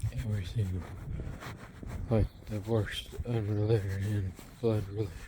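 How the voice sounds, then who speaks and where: Against noticeable background noise, a man talks at a fairly slow pace in a fairly low pitch with fairly even intonation. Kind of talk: casual talk to camera while walking. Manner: whispered.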